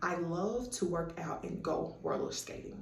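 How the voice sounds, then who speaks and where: A woman with a Southern US accent speaks very slowly at a fairly low pitch with ordinary variation, amid noticeable background noise and audible room echo. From US South, Tennessee (Murfreesboro, Chattanooga). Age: 30s. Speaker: student. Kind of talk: self-introduction video.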